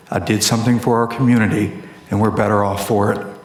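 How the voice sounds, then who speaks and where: A man speaks at a fairly low pitch with fairly even intonation. Audible room echo and noticeable background noise surround his voice. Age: 50s. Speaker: school board candidate. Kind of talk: debate closing statement.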